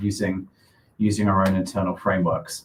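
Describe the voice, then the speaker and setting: A man with a British accent, a fairly low pitch and a somewhat breathy voice. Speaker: co-founder of a crypto AI startup. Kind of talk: live stream product demo. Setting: live stream.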